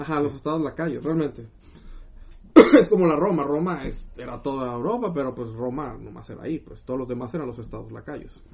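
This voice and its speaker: With a Mexican accent, the speaker moves along at a fairly quick pace. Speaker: podcast co-host. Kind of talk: casual chat. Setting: live stream.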